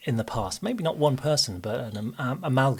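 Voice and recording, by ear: A natural voice reads the text aloud, its pitch varying in an ordinary way.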